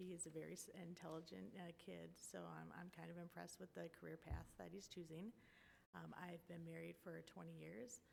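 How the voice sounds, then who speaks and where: A woman with a Wisconsin accent speaks at a fairly quick pace, her pitch very deep and low with vocal fry. Her pitch swings very widely. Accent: Wisconsin (Upper Midwest). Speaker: school board candidate. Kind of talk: candidate forum statement. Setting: public forum with audience.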